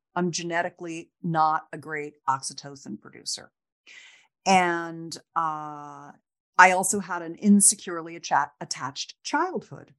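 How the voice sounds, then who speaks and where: Her loudness swings widely as this woman speaks at a fairly slow pace with ordinary pitch variation. The background is quiet. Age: 60s. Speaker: sex expert. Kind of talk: interview conversation. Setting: video call. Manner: animated.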